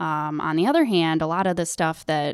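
A plain, everyday voice: a woman with an American accent, fairly low pitch, moderate pace, and fairly even intonation, in a very clean recording with a silent background and a dry, close sound with no echo. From US, upstate New York. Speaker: manufacturing supervisor. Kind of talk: interview.

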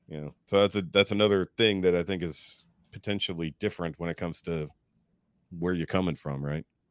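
A bright, sharp tone with a slight Texas accent, fairly quick pace, ordinary pitch variation and a dry, close sound with no echo. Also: man. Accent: general American, little Texas twang. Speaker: podcaster. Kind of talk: casual chat. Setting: online call.

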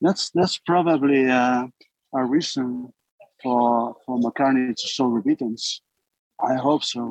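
A man's medium-pitched voice, very slow with long, frequent pauses, fairly even in intonation, in a dry, close sound with no echo. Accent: Spanish. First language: Spanish. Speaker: filmmaker and animator. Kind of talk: interview. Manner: halting.

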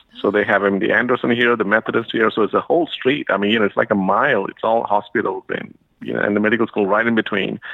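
The voice is a man's, moving at a very fast pace. Pauses are almost absent. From India. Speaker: medical school administrator. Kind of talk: interview. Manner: hesitant with many fillers.

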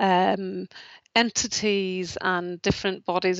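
At a very slow pace, a woman talks in a medium pitch with a monotone, flat intonation. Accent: Northern Irish. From Northern Ireland, rural. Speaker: charity chief executive. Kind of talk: interview. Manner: hesitant, with fillers and repetitions.

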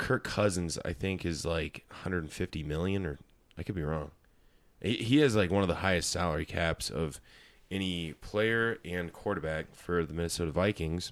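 The recording is very clean against a silent background. A man talks in an American accent. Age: 20s. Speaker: podcast host and comedian. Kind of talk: casual chat.

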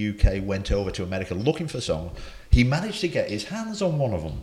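With a medium pitch and a somewhat breathy voice, a man speaks at a moderate pace while his pitch swings very widely. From England. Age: 60s. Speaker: football technical director, commentator and soul DJ. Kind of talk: casual interview chat.

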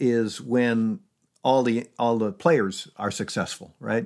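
Using a normal speaking voice, a man with an American accent talks at a medium pitch and a fairly slow pace. The recording is very clean, with a silent background. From upstate New York, Syracuse. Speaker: retired charity executive and author. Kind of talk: interview conversation.

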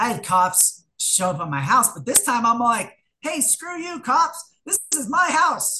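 Projecting a raised voice at a high pitch, a woman speaks at a fairly slow pace with very wide pitch swings and big swings in loudness. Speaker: recovering alcoholic AA speaker. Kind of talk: testimony. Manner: unscripted, hesitant with repetitions.

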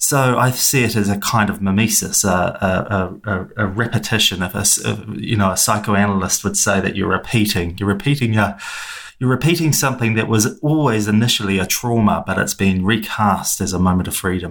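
With vocal fry and a fairly bright tone, a man speaks at a fairly low pitch and a fairly quick pace. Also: ordinary pitch variation.

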